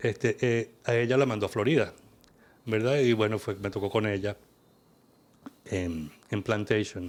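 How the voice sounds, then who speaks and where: A man with a Venezuelan accent talks at a fairly slow pace, leaving long, frequent pauses. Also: fairly low pitch for a man, ordinary pitch variation. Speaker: kundalini yoga teacher. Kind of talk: interview conversation.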